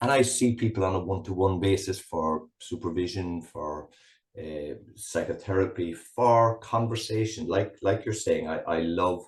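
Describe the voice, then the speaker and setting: A somewhat breathy voice with a Cork accent and ordinary pitch variation against a quiet background. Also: man, fairly low pitch for a man, moderate pace. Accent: Cork Irish. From Ireland, rural Cork. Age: 60s. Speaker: psychotherapist. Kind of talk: interview conversation. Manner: halting.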